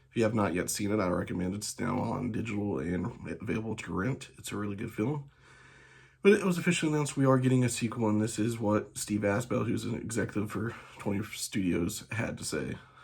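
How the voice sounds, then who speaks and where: This man's voice sits fairly low and carries vocal fry. He talks at a very fast pace. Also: ordinary pitch variation. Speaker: movie news youtuber. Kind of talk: casual news commentary. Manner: soft, low; halting, many fillers.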